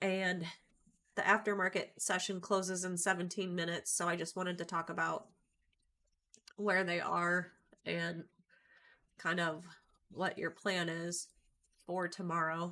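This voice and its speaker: A woman's fairly low, bright, sharp voice at a fairly slow pace, with monotone, flat intonation and long, frequent pauses, on a very clean recording with a silent background. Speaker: trading educator. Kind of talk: livestream market commentary. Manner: casual, with frequent ums.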